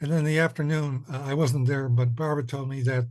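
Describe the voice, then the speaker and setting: In a quiet background, a man's somewhat breathy, dark, mellow voice sits at a medium pitch with monotone, flat intonation. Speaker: commission member, committee chair. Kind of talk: public meeting report. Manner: halting, many fillers.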